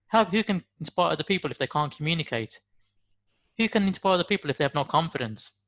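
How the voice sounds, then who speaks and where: Very fast and full of lively intonation, a man speaks with a Birmingham accent on a very clean recording with a silent background and a dry, close sound with no echo. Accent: Brummie. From West Midlands, Birmingham. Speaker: motivational speaker. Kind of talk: motivational talk.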